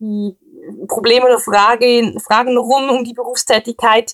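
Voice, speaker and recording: Ordinary pitch variation is heard in a dry, close sound with no echo. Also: woman. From Switzerland. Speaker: police officer. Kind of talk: interview. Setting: recorded at home.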